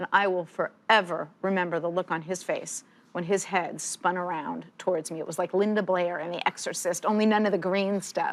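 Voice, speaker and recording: A woman speaks at a moderate pace with hardly any pauses. Her pitch sits in the medium range. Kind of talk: interview. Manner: animated.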